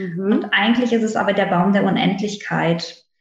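A somewhat breathy woman's voice at a moderate pace, with audible room echo. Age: 30s. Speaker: naturopath, former pediatric nurse. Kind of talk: interview conversation.

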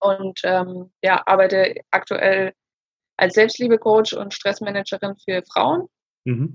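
Very slow speech with a dry, close sound and no echo. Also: woman, medium pitch for a woman, ordinary pitch variation. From Germany. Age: 30s. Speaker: self-love coach, former social worker. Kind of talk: interview.

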